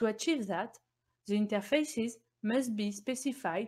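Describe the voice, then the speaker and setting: A woman speaks in a fairly high voice. Her tone is somewhat breathy. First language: not English. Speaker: embedded Linux engineer presenting at a conference. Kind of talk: technical conference talk. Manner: formal.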